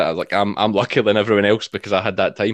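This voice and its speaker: In a Scottish accent, a man speaks with a fairly low pitch. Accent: Scottish (Ayrshire). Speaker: sheep shearer, farmer and video creator. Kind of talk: casual interview chat.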